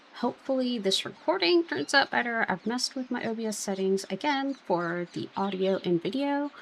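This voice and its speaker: A woman speaks with a fairly high pitch at a moderate pace. Her intonation is lively. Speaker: gaming YouTuber. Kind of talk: let's play commentary. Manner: mumbling then shouting; casual, filler-heavy.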